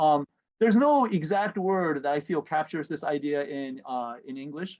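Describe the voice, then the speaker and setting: A man with a Japanese accent speaks at a moderate pace in a fairly high voice, with ordinary pitch variation against a quiet background. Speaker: professor. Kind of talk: lecture. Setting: video call. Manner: halting, many fillers.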